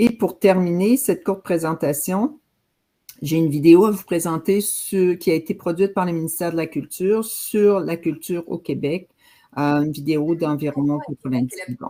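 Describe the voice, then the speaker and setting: Delivered at a moderate pace, the speech comes on a very clean recording with a silent background. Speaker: government program officer. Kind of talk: presentation.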